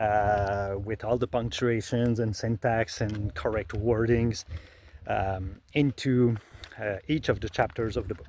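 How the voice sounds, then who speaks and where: A Quebec accent at a very slow pace. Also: man, fairly low pitch for a man. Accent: Québécois French accent in English. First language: French. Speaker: illustrator and author. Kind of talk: tutorial. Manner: halting, many fillers.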